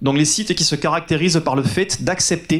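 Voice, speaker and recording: Fairly high-pitched, a man speaks with a southern French accent. His pace is fairly slow and his intonation fairly even. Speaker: agency founder, conference speaker. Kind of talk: conference talk.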